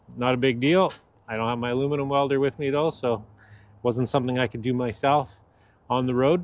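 A man at a moderate pace, fairly even intonation, dry sound with no echo. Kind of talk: casual vlog chat. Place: street. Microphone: phone near.

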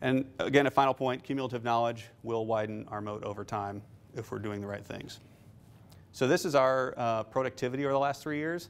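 A man talks at a fairly quick pace in an ordinary speaking voice, medium in pitch with ordinary pitch variation. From Nebraska, Omaha; Nebraska. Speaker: investment fund manager; guest. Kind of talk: lecture. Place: classroom.

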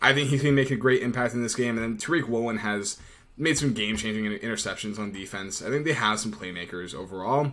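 At a very fast pace, a man talks with ordinary pitch variation. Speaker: betting analyst. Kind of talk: sports betting commentary. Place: home room. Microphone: webcam.

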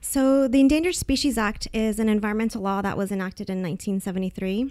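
A woman speaks very fast in a fairly high voice with a Californian accent, her pitch varying in an ordinary way on a very clean recording with a silent background. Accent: Californian American English. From Northern California. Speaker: fisheries biologist. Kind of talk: podcast interview answer.

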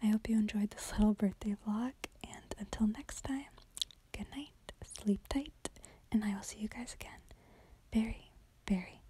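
At a moderate pace, a woman whispers in a gentle tone with long, frequent pauses, in a dry sound with no echo and light background noise. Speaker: vlogger. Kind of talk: casual vlog chat. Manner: gentle whispered sign-off. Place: home room. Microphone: phone near.

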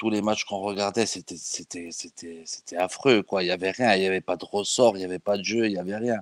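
Fairly even intonation and hardly any pauses mark this fairly quick delivery, which has a dry, close sound with no echo on a very clean recording with a silent background. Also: man, fairly low pitch for a man. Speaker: football fan. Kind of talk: casual chat.

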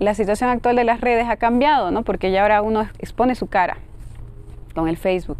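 A woman speaks. The sound is dry, with no echo. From Bolivia. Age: 30s. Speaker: poet. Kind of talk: interview. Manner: halting. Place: garden. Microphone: lapel.

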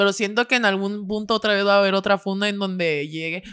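Against a quiet background, a woman speaks with fairly even intonation. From Mexico. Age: 20s. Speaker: podcaster. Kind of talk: casual chat. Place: studio. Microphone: studio mic.

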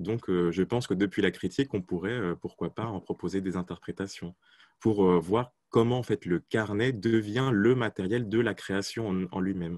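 A man speaks at a moderate pace in an ordinary speaking voice, with ordinary pitch variation. The sound is dry with no echo, over a quiet background. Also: fairly low pitch for a man. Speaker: academic seminar participant; presenter. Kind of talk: academic discussion. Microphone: video call.

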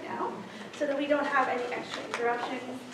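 A woman is speaking. Audible room echo and noticeable background noise come through. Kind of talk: pre-show announcement. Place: stage. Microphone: camera far.

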